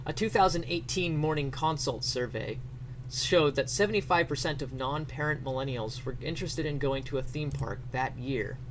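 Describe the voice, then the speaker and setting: A man speaks at a moderate pace and medium pitch, with ordinary pitch variation. Noticeable background noise is present. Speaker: streamer. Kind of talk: comedic dramatic reading of an article.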